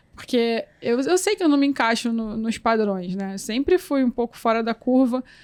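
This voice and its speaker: Soft-spoken and fairly high-pitched, a woman talks with lively intonation and hardly any pauses, the sound dry and close with no echo. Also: moderate pace. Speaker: photographer and photography teacher. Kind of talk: interview conversation.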